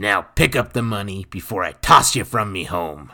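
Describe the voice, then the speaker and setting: In a put-on character voice, a man sounds gruff and raspy at a fairly low pitch, with ordinary pitch variation and a moderate pace, on a very clean recording with a silent background. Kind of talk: rough, natural speech.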